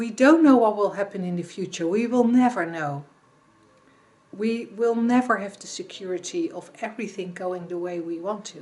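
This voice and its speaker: Speech comes at a moderate pace with a Dutch accent and lively intonation. The loudness swings widely. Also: woman, medium pitch for a woman. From Netherlands. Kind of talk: reflective talk to camera. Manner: halting.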